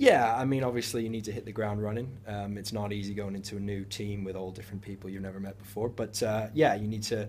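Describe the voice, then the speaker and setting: A man talks at a fairly quick pace in a fairly low, monotone voice that is somewhat breathy. His voice carries an audible room echo. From United States. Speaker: professional footballer. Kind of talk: interview. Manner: hesitant, many fillers.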